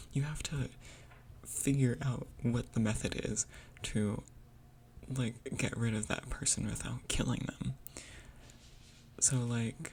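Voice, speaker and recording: A woman whispers at a fairly slow pace. Vocal fry runs through her voice. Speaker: gaming video creator. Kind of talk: unscripted rant. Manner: whispering; halting.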